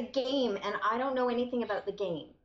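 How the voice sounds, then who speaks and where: A woman talks very fast against noticeable background noise. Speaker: actor. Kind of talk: interview answer.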